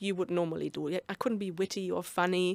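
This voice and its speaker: With a German accent, a woman speaks in a dry, close recording with no echo. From Germany. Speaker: business mentor and author. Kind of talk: interview. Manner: loud.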